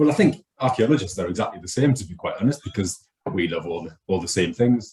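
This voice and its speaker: With a northeast English accent, a man speaks very fast in a somewhat breathy, dark, mellow voice of medium pitch, his intonation lively and his loudness swinging widely. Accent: northeast England. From northeast England. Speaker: archaeologist. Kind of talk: casual chat.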